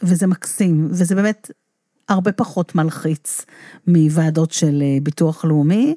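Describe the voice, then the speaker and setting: Speaking at a very slow pace, a woman uses a fairly low, dark, mellow voice, recorded dry and close with no echo and very clean with a silent background. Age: 50s. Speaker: rehabilitation counselor. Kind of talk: casual interview conversation.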